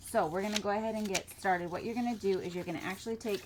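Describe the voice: The speaker gives a plain reading aloud.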